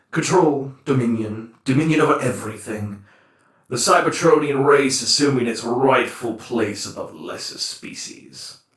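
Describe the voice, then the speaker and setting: A man's put-on character voice of medium pitch at a moderate pace, with slight echo. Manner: scornful, grandiose.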